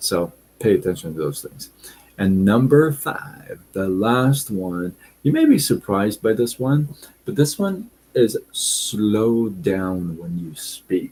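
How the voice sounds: Slow and with lively intonation, a man talks at a fairly low pitch in a slightly mellow tone with a slightly husky edge.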